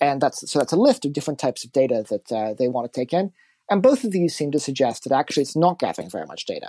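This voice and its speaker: A man with an American accent and a fairly high pitch talks very fast, recorded very cleanly against a silent background with a dry, close sound and no echo. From California. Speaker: journalist and editor. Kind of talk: casual interview chat.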